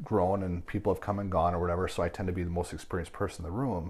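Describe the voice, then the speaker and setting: A man with a very deep, low pitch and an Upper Midwest US accent. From Wisconsin, Milwaukee. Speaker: martial arts instructor. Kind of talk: casual interview chat. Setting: studio.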